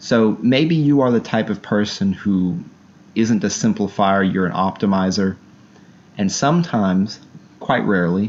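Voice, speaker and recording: Fairly low male pitch, ordinary pitch variation and a fairly slow pace. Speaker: book reviewer and self-help channel host. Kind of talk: book review monologue. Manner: animated.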